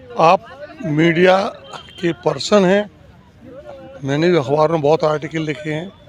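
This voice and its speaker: Against crowd noise in the background, a man with a fairly high pitch and ordinary pitch variation speaks with long, frequent pauses. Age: 60s. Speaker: member of public, former newspaper writer. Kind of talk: street interview.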